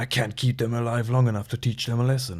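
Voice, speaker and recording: A man uses a put-on character voice with monotone, flat intonation. He talks at a very fast pace. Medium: read story. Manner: gruff, clipped.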